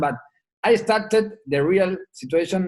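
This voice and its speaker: A fairly slow pace in an Argentine accent, with ordinary pitch variation. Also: man. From Argentina. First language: Spanish. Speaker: rugby sevens head coach. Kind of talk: podcast interview answer.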